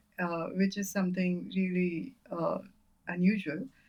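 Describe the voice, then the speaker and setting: A woman speaking very slowly, somewhat breathy. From India, Bengal roots, grew up in North India. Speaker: poet and former scientist. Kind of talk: interview conversation. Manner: hesitant, many fillers.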